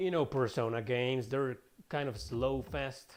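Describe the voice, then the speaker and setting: Over music in the background, a man with a non-native accent talks at a fairly slow pace, with a medium pitch and fairly even intonation. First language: Spanish. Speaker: gaming streamer and writer. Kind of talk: casual gameplay commentary. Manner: casual, chatty.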